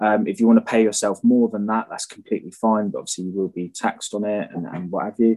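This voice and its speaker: The speaker has a British accent and talks very fast. There are hardly any pauses. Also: man. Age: 20s. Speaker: electrician. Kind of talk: casual interview. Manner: hesitant, many fillers.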